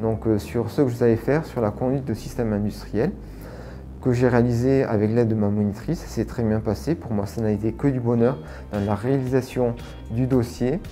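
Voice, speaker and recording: A man with a plain, everyday voice speaks at medium pitch and a moderate pace, his pitch varying in an ordinary way. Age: 40s. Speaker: sheltered workshop worker. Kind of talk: testimony.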